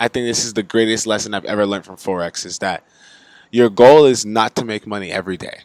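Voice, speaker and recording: A man with a plain, everyday voice, medium pitch, fairly even intonation and an American accent, in a dry, close recording with no echo. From United States. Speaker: forex trading youtuber. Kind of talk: casual tutorial. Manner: casual, filler-heavy.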